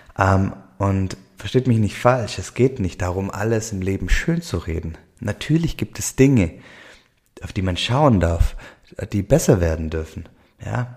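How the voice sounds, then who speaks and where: With a Swabian accent, a somewhat breathy man speaks at a fairly low pitch with lively intonation and long, frequent pauses. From Swabia, southwestern Germany. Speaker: podcast host, life coach. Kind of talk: solo podcast monologue. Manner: many fillers and hesitations.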